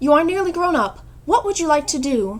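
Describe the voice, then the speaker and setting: In a squeaky put-on character voice, a woman speaks fairly quickly at a high pitch with very wide pitch swings. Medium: read story. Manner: formal, proper.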